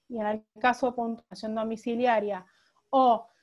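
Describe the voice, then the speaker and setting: Against a quiet background, a woman with a fairly high pitch talks with fairly even intonation. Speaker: lawyer on a panel. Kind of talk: online talk presentation. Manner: halting, many repetitions.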